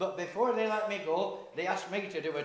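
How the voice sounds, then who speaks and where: This man's pitch varies in an ordinary way. Background noise is noticeable. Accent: Lancashire. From Lancashire, England. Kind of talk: dialect monologue performance. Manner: humorous storytelling.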